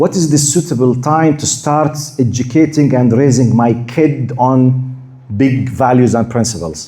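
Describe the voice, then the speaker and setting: A medium-pitched man with a Jordanian accent at a moderate pace, with audible room echo. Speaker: Islamic preacher. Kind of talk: lecture. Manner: halting, repeats words.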